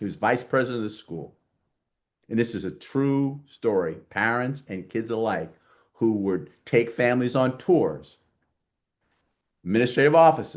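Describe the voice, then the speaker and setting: Speaking in a New York accent, a man with a medium-pitched voice sounds animated at a moderate pace, breaking often with long pauses. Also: lively intonation. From New York, Queens. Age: 70s. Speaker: diversity advocate and author. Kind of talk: podcast interview.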